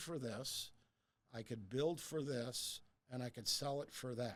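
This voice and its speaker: Speaking at a moderate pace, a man uses a medium pitch with an American accent. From US Midwest, suburb of Detroit, Michigan. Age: 60s. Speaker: real estate advisor. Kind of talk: interview conversation. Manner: animated, repeats words when starting sentences.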